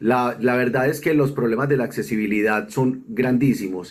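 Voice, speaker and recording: This man has a normal speaking voice, medium in pitch, with ordinary pitch variation at a moderate pace. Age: 50s. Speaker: accessibility consultant, wheelchair user. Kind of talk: recorded video testimony.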